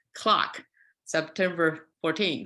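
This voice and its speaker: Her voice fairly low in pitch with a bright, sharp tone, a woman speaks with a Chinese accent. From China, Qingdao. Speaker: fiber artist. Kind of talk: artist talk presentation. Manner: halting.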